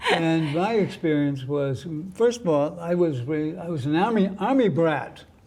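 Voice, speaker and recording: The speech moves at a fairly slow pace. Audible room echo and noticeable background noise are present. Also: man, fairly high pitch for a man, lively intonation. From US, raised partly in Germany. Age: 80s+. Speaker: Cold War Navy veteran. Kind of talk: testimony. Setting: TV studio.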